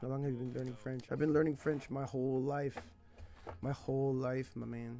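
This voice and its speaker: Over faint background music, the voice moves at a fairly quick pace in a monotone, flat intonation, with a dry sound and no echo. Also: man. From California. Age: 30s. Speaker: language teacher and streamer; language teacher, streamer. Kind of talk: casual live stream chat. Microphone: headset.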